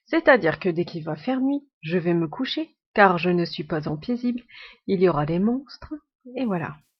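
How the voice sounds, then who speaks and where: A woman at medium pitch and moderate pace, with very wide pitch swings. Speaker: gaming youtuber. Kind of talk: tutorial. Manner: chatty.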